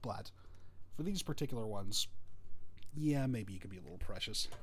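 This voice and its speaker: A man speaks at a very fast pace in a somewhat breathy voice. Audible room echo surrounds him. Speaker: model-building streamer. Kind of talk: casual live-stream tutorial. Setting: live stream at desk.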